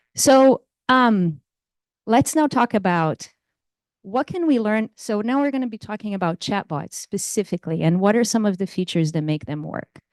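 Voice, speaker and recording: Very wide pitch swings in a Portuguese accent at a moderate pace, dry and close with no echo, over a quiet background. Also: woman, medium pitch for a woman. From Brazil. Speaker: computer science professor. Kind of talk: lecture. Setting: lecture room with audience.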